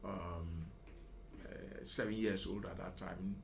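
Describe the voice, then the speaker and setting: Audible room echo hangs on this recording. The male speaker's pitch sits fairly low. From Ghana, La (Accra). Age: 70s. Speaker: retired professional, school alumnus. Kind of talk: radio interview. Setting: radio studio.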